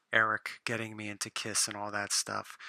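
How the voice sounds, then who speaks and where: Quietly and at a moderate pace, a man speaks with a bright, sharp tone in a dry, close sound with no echo. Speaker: comic book collector vlogger. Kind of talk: casual vlog monologue. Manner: quieter, lowered voice.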